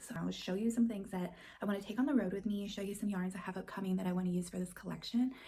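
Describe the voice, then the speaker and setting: A woman speaks somewhat breathily in a dark, mellow tone. Room echo is audible. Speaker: crochet designer and craft vlogger. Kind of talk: casual vlog chat. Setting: at home by a hallway closet. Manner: whispering.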